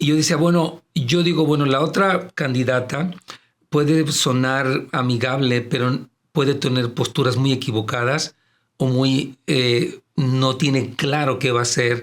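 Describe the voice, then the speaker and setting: The man speaks fairly slowly at a medium pitch, with fairly even intonation and very even loudness. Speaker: pastor. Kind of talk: casual chat.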